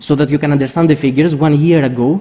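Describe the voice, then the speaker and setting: A man in monotone, flat intonation. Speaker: financial regulator analyst. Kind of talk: conference presentation. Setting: stage with audience. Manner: fast.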